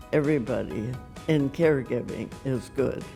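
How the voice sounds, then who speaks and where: Over music in the background, a woman with a very deep, low voice speaks fairly slowly with fairly even intonation. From Savannah, Georgia. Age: 80s+. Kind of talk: interview answer.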